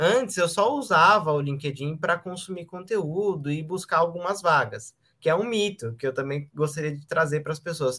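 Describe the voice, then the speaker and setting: A man's high voice with a bright, sharp tone, lively intonation and a moderate pace. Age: 20s. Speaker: LinkedIn sales consultant. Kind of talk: podcast interview.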